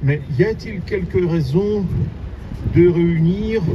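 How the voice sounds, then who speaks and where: Male speech pitched fairly high, with noticeable noise in the background. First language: Russian (speaking French). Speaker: human rights activist. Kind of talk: public speech. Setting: outdoors, street event with audience. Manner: halting.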